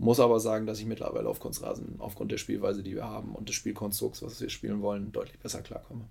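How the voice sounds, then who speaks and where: A man talks at a very fast pace. He barely pauses at all. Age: 30s. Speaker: amateur footballer and product manager. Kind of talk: interview. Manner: hesitant, many filler sounds.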